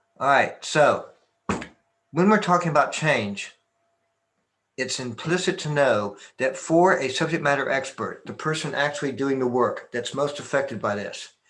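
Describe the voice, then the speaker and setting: A man with an American accent and a fairly high pitch uses a normal speaking voice, with ordinary pitch variation at a moderate pace. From Texas. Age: 60s. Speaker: martial arts master and business consultant. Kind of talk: conference presentation.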